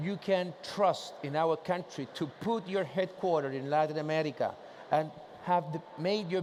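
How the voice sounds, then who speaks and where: At a moderate pace, a man with a Spanish accent talks in a high pitch with fairly even intonation. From Chile. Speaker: trade association president. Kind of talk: conference presentation. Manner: casual, joking.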